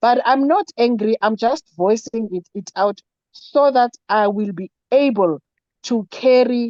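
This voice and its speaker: A woman with a fairly high pitch speaks at a very slow pace with ordinary pitch variation. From South Africa. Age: 60s. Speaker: network marketing member. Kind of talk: online meeting Q&A. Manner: halting.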